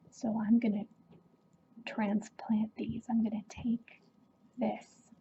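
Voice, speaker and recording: The speaker is soft-spoken. The pace is very slow. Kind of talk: ASMR show-and-tell.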